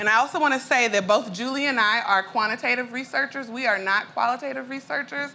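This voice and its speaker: Speaking at a fairly quick pace, a woman talks with an Arkansas accent. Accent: Arkansas Southern accent, full. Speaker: education researcher and entrepreneur. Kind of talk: conference presentation. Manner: casual, frequent fillers.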